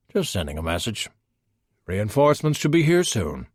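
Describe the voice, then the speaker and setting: Putting on a character voice with very wide pitch swings, a man at a medium pitch talks at a moderate pace on a very clean recording with a silent background. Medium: read story. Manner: dry, confident, deadpan.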